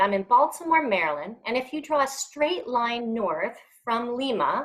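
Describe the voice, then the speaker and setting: With an American accent, a woman speaks at a high pitch that swings very widely. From rural US Midwest. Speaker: workforce development expert, webinar presenter. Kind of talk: webinar presentation. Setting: online webinar, camera off.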